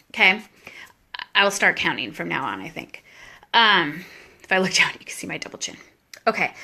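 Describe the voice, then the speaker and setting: A woman speaks in an animated way at a fairly quick pace, her bright, sharp tone carrying some vocal fry. Her loudness swings widely, and she leaves long, frequent pauses. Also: medium pitch for a woman, ordinary pitch variation. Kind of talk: live video talk on Bible book. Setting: live stream video, handheld camera at home. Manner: casual, animated.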